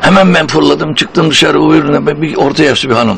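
Noticeable background noise is present. Over it, a man talks fairly quickly. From Turkey. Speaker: stage and voice actor. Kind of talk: anecdotal interview storytelling.

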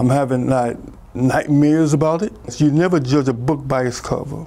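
A man is speaking in a dark, mellow tone. His intonation is fairly even. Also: moderate pace. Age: 60s. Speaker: interviewee, grandfather. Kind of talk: interview answer. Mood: troubled, recalling an assault.

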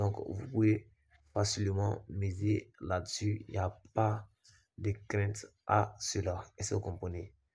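On a very clean recording with a silent background, a man speaks very slowly in a fairly low, somewhat breathy voice with monotone, flat intonation. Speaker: sports betting tipster YouTuber. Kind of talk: screen-share betting tutorial.

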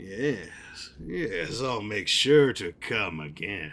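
A man puts on a character voice with big pitch swings, speaking at a slow pace. His pitch is fairly low and his tone fairly bright.

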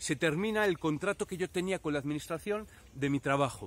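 Heard with a dry sound and no echo, a man's high voice carries ordinary pitch variation. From Spain, Valladolid; Spain. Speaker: YouTuber with multiple sclerosis. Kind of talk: personal reflection to camera. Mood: reflective, personal. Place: open country. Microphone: phone near.

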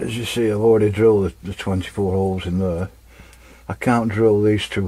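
A man speaks with a very deep, low pitch and a dark, mellow tone. His intonation is monotone and flat. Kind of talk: tutorial. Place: workshop. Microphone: camera far.

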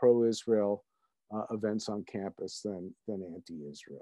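A man with an American accent speaks at a fairly slow pace in a dark, mellow tone. The sound is dry, with no echo, and the background is quiet. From United States. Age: 60s. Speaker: author and attorney; attorney. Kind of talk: interview. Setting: video call. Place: home room. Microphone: webcam.

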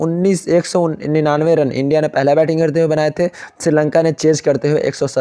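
At a moderate pace, a man talks in a fairly high, dark and mellow voice with monotone, flat intonation. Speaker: fantasy cricket tipster. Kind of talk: tutorial.

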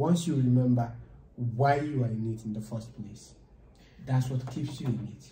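A man with a Nigerian accent talks at a fairly slow pace in a dark, mellow, somewhat breathy tone with fairly even intonation. There is light background noise and audible room echo. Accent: Nigerian English (Igbo). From Nigeria, Enugu State. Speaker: data science student. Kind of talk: casual chat; informal interview conversation. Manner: halting. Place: meeting room. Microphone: camera far.

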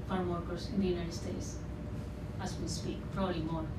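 A woman with a Spanish accent speaks over noticeable background noise. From Sinaloa, Mexico. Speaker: artist and radio producer. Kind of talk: public talk. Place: hall.

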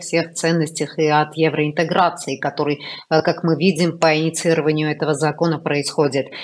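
The speaker is a woman with a fairly low pitch. Her pace is moderate. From Armenia. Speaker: news show host. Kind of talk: interview. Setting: studio. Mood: serious political discussion. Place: home room. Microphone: earbuds.

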